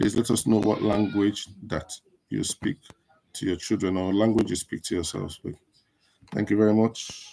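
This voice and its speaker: A man with a Nigerian accent speaks in a dark, mellow tone at a fairly low pitch, with monotone, flat intonation and a moderate pace broken by long, frequent pauses. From northern Nigeria (Kaduna). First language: Igbo. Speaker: live show host. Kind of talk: casual livestream talk. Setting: social media livestream.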